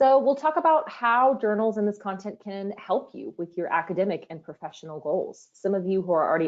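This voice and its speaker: A woman talks with an ordinary speaking voice at a medium pitch. Her pace is fairly quick and her intonation lively. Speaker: user training manager presenting a webinar. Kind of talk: webinar presentation. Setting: online webinar.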